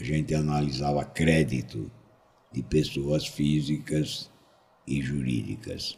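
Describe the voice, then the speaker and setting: A man with a very deep, low pitch, ordinary pitch variation and a very slow pace. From São Paulo, Brazil. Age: 70s. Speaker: foreign trade consultant. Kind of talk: interview.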